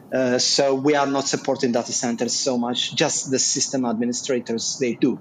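A man talks in a medium pitch with noticeable noise in the background. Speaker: audience member, job seeker in IT. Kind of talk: audience question. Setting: video call.

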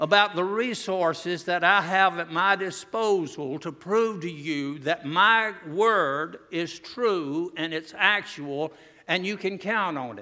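In a Southern US accent, a man with a high pitch and a bright, sharp tone uses a raised, projected voice at a fairly slow pace, with ordinary pitch variation in a very clean recording with a silent background. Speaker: visiting preacher. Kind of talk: revival sermon to a congregation. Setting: church, in front of a live congregation. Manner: earnest, warm, pulpit-style exhortation; conversational and humorous, with self-deprecating asides.

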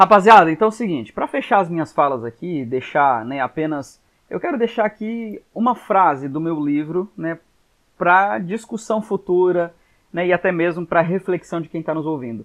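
A man's high-pitched voice with lively intonation. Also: moderate pace. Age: 30s. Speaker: pastor and psychologist. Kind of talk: podcast interview.

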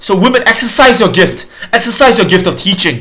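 A man speaks in a raised, projected voice at a moderate pace. Noticeable background noise is present. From Singapore. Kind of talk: solo teaching podcast. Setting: home recording, mic further away. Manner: casual, hesitant with fillers.

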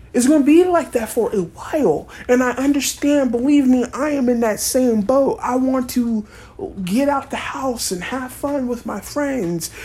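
A woman with a high pitch and ordinary pitch variation talks fairly slowly while noticeable background noise carries on. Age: 30s. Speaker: podcast host. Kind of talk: solo opinion monologue. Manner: animated.

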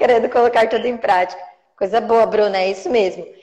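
A woman's fairly high, dark, mellow voice at a fairly quick pace. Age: 30s. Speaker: ballet teacher and course creator. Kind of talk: live-stream interview. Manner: animated.

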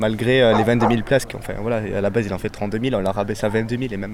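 With a plain, everyday voice, a man speaks at a fairly quick pace, keeping a medium pitch and fairly even intonation. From Mont-de-Marsan, southwest France. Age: young. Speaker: student and football fan writer. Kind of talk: casual chat.

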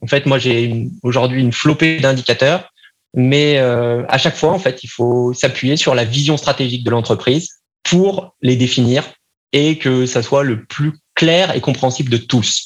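A man's normal speaking voice at a medium pitch and fairly slow pace, with very even loudness and ordinary pitch variation. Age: 30s. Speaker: marketing agency founder. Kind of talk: podcast interview.

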